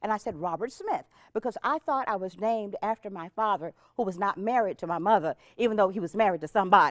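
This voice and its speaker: Very fast, animated speech from a woman in an American accent, medium in pitch with ordinary pitch variation and a dry, close sound with no echo. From Texas, Dallas. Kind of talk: personal testimony to audience.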